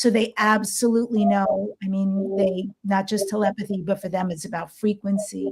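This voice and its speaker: A woman speaks at a moderate pace in a fairly high, somewhat breathy voice. Her tone is dark and mellow. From New York. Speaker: podcast host, ET contactee and shamanic healer. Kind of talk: interview.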